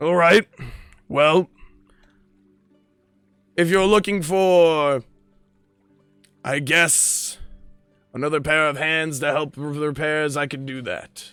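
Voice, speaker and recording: A man speaks in a gruff, put-on character voice, fairly high for a man, at a fairly slow pace with long, frequent pauses while faint music plays behind him. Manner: gruff dwarven tone.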